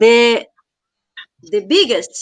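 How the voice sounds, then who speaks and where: Speaking very slowly in a Brazilian Portuguese accent, a woman has a bright, sharp tone. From Brazil, São Paulo State coast (caiçara). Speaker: researcher of popular culture. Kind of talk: casual chat. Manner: halting.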